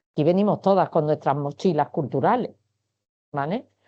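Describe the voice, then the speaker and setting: A woman with an Andalusian accent and ordinary pitch variation. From Andalusia, Spain. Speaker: science communication director. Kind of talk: webinar talk. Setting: online webinar.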